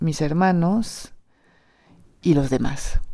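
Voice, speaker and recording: A dark, mellow tone and a French accent come through on a very clean recording with a silent background. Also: woman. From southern France, Perpignan. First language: French (speaking Spanish). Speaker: storyteller. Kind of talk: personal testimony. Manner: hesitant, many repetitions.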